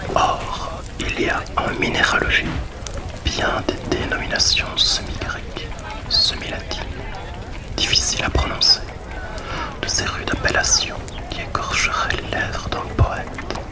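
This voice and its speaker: Whispering in a calm tone, the voice moves at a very slow pace with long, frequent pauses. Noticeable background noise can be heard. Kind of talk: whispered evening book reading. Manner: whispered, calm.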